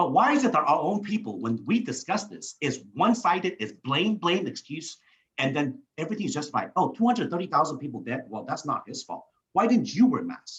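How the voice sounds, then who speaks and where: Loud and at a fairly quick pace, a man talks in a high pitch with very wide pitch swings. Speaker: talk show host and financial advisor. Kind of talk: political interview. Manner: halting, many repeated words.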